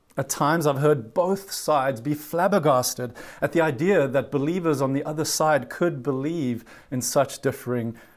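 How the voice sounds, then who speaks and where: In a very clean recording with a silent background, a man speaks at a moderate pace with a South African accent. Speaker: pastor. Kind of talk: sermon. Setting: virtual church service.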